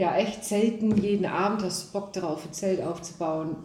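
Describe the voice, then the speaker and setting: A woman speaks at medium pitch and a moderate pace. The room echo is audible, and background noise is noticeable. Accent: Dutch. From Netherlands. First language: Dutch (speaking German). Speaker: rally driver. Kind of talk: casual chat. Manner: halting.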